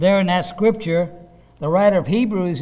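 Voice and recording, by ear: At a moderate pace, a man with a high pitch and a dark, mellow tone speaks with ordinary pitch variation.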